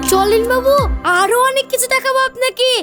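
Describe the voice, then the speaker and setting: With faint music in the background, a woman performs a put-on character voice at an extremely high pitch. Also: moderate pace. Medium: comedy sketch. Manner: rustic, familiar.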